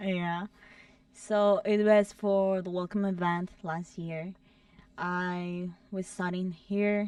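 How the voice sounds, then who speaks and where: A woman speaks with a Spanish accent at a medium pitch. Her delivery is very slow, with monotone, flat intonation. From El Salvador. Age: young. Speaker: student club president. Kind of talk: casual interview.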